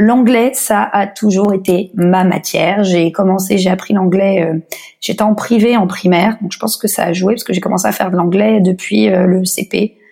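Noticeable background noise sits under a woman's voice. Her pitch is medium and her intonation fairly even. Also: moderate pace. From France, Paris. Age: 30s. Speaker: blogger and podcaster, expatriate. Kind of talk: interview.

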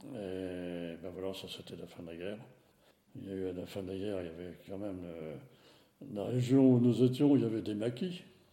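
Dark and mellow in tone, a man's fairly low voice moves at a moderate pace with ordinary pitch variation and big swings in loudness, with audible room echo around it. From France, Nevers. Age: 80s+. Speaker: retired engineer. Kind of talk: testimony. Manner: halting.

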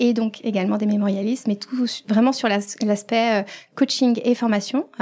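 Here a woman has a fairly high pitch and a dark, mellow tone. Her intonation stays fairly even. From Paris region, France. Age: 30s. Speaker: financial coach and trainer. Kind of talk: casual interview. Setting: coworking space in Paris. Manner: hesitant, many fillers.

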